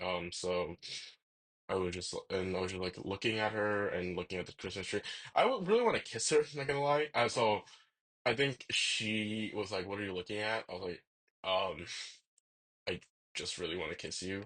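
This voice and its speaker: Pausing often and at length, a man speaks at a moderate pace in a fairly low pitch with ordinary pitch variation. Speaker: vlogger. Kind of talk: casual rant, personal storytelling. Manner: halting, many fillers and restarts.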